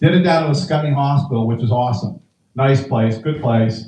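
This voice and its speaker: At a fairly quick pace, a man talks in a normal speaking voice with medium pitch. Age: 60s. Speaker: comedian. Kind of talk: stand-up.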